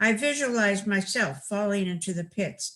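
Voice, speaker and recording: A woman speaks in an American accent at medium pitch. Her tone is bright and sharp. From California, Los Angeles. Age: 80s+. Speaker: writer. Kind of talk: reading aloud.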